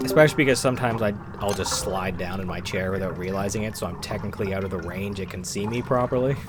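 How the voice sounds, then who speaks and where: Very fast speech with hardly any pauses and ordinary pitch variation, over background music and audible room echo. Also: man, fairly low pitch for a man. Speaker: gaming streamer. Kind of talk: live stream chat while gaming. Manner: soft-spoken; quiet.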